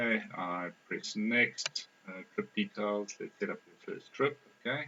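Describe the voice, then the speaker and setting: A man speaks at a fairly slow pace with a non-native accent. His loudness swings widely. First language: not English. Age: 20s. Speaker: software developer, test participant. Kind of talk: think-aloud usability testing.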